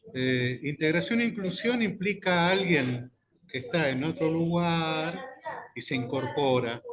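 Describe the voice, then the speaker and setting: A man talks in an ordinary speaking voice at a fairly high pitch. His pace is fairly slow. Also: lively intonation. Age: 60s. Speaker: journalist. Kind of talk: casual chat.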